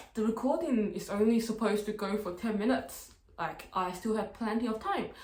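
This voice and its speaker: A woman is speaking. Background noise is noticeable, and room echo is audible. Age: 20s. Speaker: university student vlogger. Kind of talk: casual vlog talk to camera. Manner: slow talker, by own account; casual, lots of filler words.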